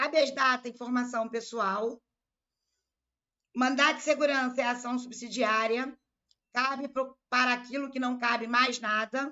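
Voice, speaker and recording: A woman with a Rio de Janeiro accent speaks at a high pitch and a fairly slow pace with fairly even intonation. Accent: carioca. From Rio de Janeiro, Brazil. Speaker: law exam-prep teacher. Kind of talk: live online lecture. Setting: live stream.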